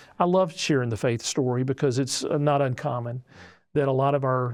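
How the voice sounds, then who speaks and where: With a normal speaking voice and fairly even intonation, the speaker moves at a fairly quick pace over a quiet background. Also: man. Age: 60s. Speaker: pastor. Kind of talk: casual chat.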